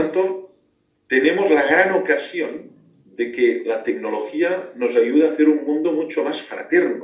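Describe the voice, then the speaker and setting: A man speaks at a fairly slow pace. Room echo is audible around him. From Catalonia, Spain. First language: Catalan (speaking Spanish). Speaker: philosopher and theologian. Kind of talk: radio interview. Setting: remote call into radio show.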